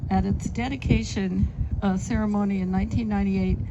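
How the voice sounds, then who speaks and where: The speaker is a woman talking at a moderate pace. Audible room echo surrounds her voice. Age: 80s+. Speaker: city councilmember. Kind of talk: public speech. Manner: halting with many fillers.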